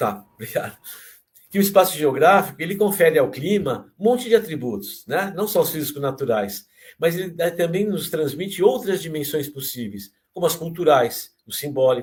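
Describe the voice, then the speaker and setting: A man with a fairly high pitch, very wide pitch swings and vocal fry at a moderate pace. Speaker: geography professor. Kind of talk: lecture. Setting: online talk.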